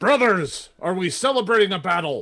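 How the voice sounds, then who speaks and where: This man uses a put-on character voice pitched high. He keeps a moderate pace. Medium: actual play. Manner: zealous, brash.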